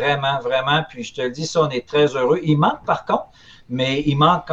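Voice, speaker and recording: A man with a fairly high pitch and a somewhat breathy voice talks at a fairly quick pace. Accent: Quebec. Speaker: collectibles retailer. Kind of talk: casual chat.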